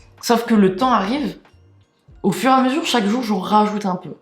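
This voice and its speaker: Over music in the background, a woman speaks at a fairly quick pace with ordinary pitch variation. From France. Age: 20s. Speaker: YouTuber. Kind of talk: casual storytelling. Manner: animated.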